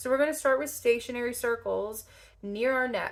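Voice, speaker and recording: A woman talks at a moderate pace with a slight Southern US accent. Her intonation stays fairly even. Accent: slight Southern country twang. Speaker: lymphedema therapist. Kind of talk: tutorial. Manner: casual, chatty.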